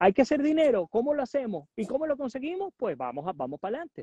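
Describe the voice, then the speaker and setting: A man speaks over a quiet background. The sound is dry, with no echo. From Venezuela, Puerto Ordaz; Venezuela. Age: 40s. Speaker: journalist and political analyst; journalist, political analyst. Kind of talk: interview. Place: garden. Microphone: earbuds.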